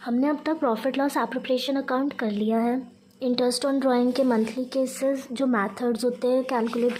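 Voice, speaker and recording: Against noticeable background noise, a high-pitched woman speaks at a moderate pace with monotone, flat intonation. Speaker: teacher. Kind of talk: tutorial.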